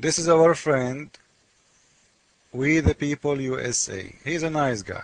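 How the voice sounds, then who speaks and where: Speaking with a non-native accent, a man uses a fairly high pitch and ordinary pitch variation. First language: not English. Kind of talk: casual commentary reading screen text. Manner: animated.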